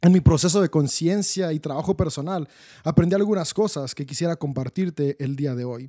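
A man with a fairly high pitch and a dark, mellow tone talks at a moderate pace with big swings in loudness, the sound dry and close with no echo. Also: ordinary pitch variation. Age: 30s. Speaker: podcast host and life coach. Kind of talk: solo motivational talk. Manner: enthusiastic.

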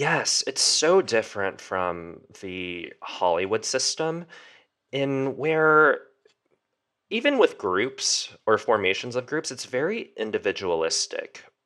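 The pace is very slow in this very clean recording with a silent background. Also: man. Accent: American. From US, Korean American. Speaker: young adult author. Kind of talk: interview.

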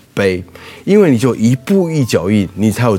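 Music plays in the background as a man speaks. His pitch is fairly low and his intonation lively. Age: 60s. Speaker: restaurant group executive. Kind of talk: interview.

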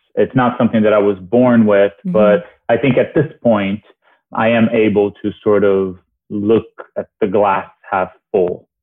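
A man with a Portuguese accent speaks at a fairly slow pace with fairly even intonation. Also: fairly low pitch for a man. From Brazil (Rio). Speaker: TV host and journalist. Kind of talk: casual interview chat.

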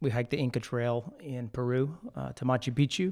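An unremarkable speaking voice at a moderate pace, with fairly even intonation. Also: man. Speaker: podcast host. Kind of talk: casual chat.

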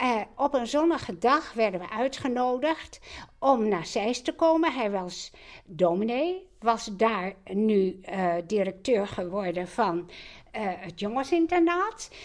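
The speech comes at a very slow pace. The pitch swings very widely. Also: woman, fairly high pitch for a woman. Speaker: host's mother. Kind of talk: personal storytelling.

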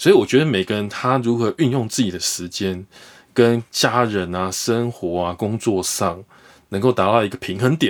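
This man's voice sits at a medium pitch, moving at a moderate pace with ordinary pitch variation. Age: 40s. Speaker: investor, former stockbroker. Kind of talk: interview. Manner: animated.

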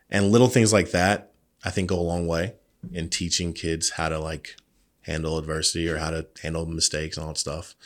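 On a very clean recording with a silent background, a man with a very deep, low voice speaks at a fairly quick pace with fairly even intonation. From North Carolina, Raleigh. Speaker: basketball coach. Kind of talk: interview.

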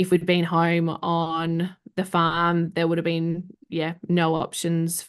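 Speaking very slowly in a flat monotone, a woman with a fairly low pitch talks in an Australian accent. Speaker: professional home organiser. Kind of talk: casual interview chat.

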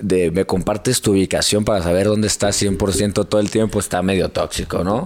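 A man with an unremarkable speaking voice talks at a fairly quick pace. His pitch is fairly low and his intonation fairly even. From Hermosillo, Sonora, northern Mexico. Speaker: fitness content creator. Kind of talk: casual chat.

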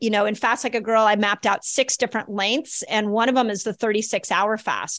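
This woman has an unremarkable speaking voice with fairly high pitch and a moderate pace. The sound is dry and close, with no echo. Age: 50s. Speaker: chiropractor and health author. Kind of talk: interview Q&A.

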